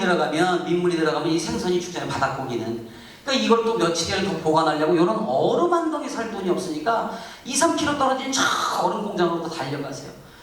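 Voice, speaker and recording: Against noticeable background noise and audible room echo, a man with a high pitch talks very fast in an animated tone with lively intonation. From South Korea, Incheon. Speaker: pastor. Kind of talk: testimony.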